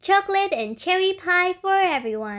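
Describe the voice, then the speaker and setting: Bellowing loudly in a squeaky, put-on character voice, a woman speaks at a moderate pace with an extremely high pitch. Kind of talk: bedtime story. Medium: read story. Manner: loud, bellowing.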